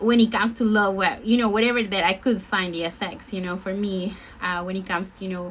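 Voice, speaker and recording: Speaking at a fairly quick pace, a woman talks with a Spanish accent. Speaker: singer. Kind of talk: casual chat. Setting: live stream. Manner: halting.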